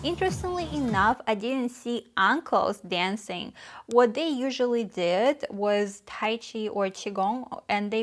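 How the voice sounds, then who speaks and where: Speaking with hardly any pauses, a woman with a Russian accent uses a fairly high pitch in a very clean recording with a silent background. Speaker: vlogger. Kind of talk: casual talk to camera. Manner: hesitant, many fillers.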